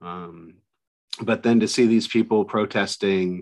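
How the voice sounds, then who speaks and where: Over a quiet background, a man with a plain, everyday voice speaks at a fairly low pitch with fairly even intonation. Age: 40s. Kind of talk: casual chat.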